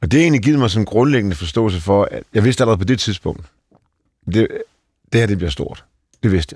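A man with a fairly low pitch and lively intonation talks very fast between long, frequent pauses. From Denmark, Aalborg. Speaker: tech company CEO. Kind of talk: interview. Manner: halting.

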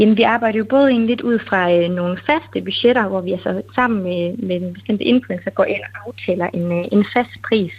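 A woman's unremarkable speaking voice, medium in pitch with ordinary variation, at a moderate pace with hardly any pauses. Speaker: webshop owner. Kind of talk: interview. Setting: phone call.

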